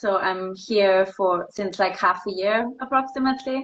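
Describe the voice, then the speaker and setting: With a German accent, a woman speaks at a medium pitch and a fairly slow pace. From Austria, Vienna. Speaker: ballet dancer. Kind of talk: casual interview.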